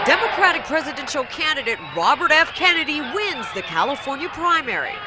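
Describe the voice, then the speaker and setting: A woman speaks in a high voice with lively intonation at a fairly quick pace. Noticeable background noise sits behind her. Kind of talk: TV news narration.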